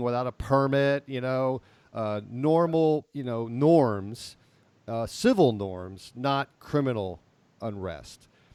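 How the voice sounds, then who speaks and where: Very slow pace and ordinary pitch variation from a man at medium pitch. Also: dry, close sound with no echo, very clean recording, silent background. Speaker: podcast co-host. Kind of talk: casual discussion.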